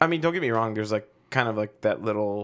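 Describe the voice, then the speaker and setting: A normal speaking voice from a man, fairly low in pitch, at a fairly quick pace with ordinary pitch variation. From Chicago, south side, Mexican-American family. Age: 30s. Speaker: chef. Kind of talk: casual chat.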